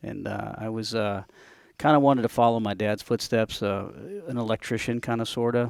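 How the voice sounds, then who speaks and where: On a very clean recording with a silent background, a man with an American accent talks at a fairly quick pace and medium pitch, with fairly even intonation. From upstate New York. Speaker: building chief engineer, Navy veteran. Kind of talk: podcast interview. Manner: hesitant, many fillers.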